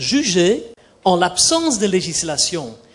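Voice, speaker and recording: A man with a Dutch accent speaks at a very slow pace, his pitch swinging very widely. Audible room echo surrounds his voice. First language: Dutch (speaking French). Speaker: judge. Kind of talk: panel debate. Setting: conference forum. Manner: formal.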